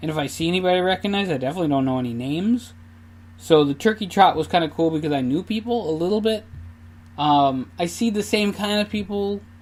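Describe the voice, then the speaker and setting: Very fast and lively, a man with a Minnesota accent talks at a high pitch. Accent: Minnesota accent, noticeable. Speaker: podcaster, amateur runner. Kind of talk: casual solo podcast monologue. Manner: casual, with many fillers.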